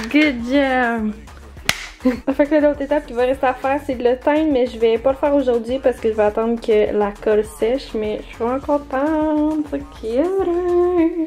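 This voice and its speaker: A woman speaks fairly slowly in a high pitch, her loudness swinging widely. Noticeable background noise sits behind her. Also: ordinary pitch variation. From Quebec. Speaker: lifestyle vlogger. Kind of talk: casual vlog talk to camera. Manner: casual, chatty.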